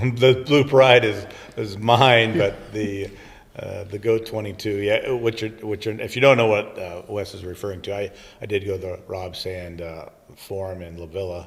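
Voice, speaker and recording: A man with a Midwestern US accent at a fairly low pitch and moderate pace, with ordinary pitch variation and big swings in loudness. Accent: US Midwest. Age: 60s. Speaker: retired school superintendent. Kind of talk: casual chat. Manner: halting, many fillers.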